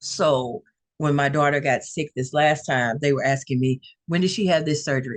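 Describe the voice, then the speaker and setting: A woman's very deep, low voice in a Louisiana accent, with ordinary pitch variation, a moderate pace, very even loudness and a dry, close sound with no echo. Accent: Southern US (Louisiana). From North Louisiana. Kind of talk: interview testimony.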